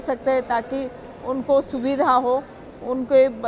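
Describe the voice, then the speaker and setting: A woman speaks at a high pitch against noticeable background noise. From India, Odisha (Ganjam district). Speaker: state legislator. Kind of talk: interview testimony. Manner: hesitant, many fillers.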